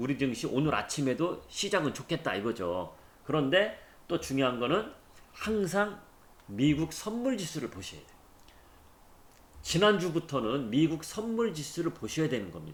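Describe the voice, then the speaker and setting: A man with vocal fry speaks at a fairly high pitch, his voice making very wide pitch swings. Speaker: stock market YouTuber. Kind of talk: market commentary. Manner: fast.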